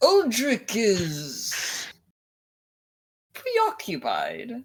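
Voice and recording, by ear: A put-on character voice at a fairly high pitch.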